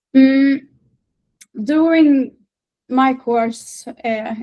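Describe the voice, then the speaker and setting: A woman with a Swedish accent and ordinary pitch variation. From northern Sweden. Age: 20s. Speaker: patient advocate. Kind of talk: interview. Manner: halting, many fillers.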